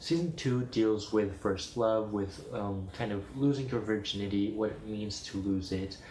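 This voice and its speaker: The speech runs at a fairly slow pace with hardly any pauses. Audible room echo can be heard. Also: man, fairly low pitch for a man, ordinary pitch variation. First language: Spanish. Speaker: video blogger. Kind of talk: casual chat.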